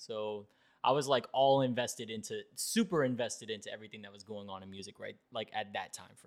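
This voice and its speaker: Speaking at a fairly quick pace, a man with an American accent has a normal speaking voice of medium pitch, ordinary pitch variation, and big swings in loudness. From South Florida. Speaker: podcast host. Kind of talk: casual chat.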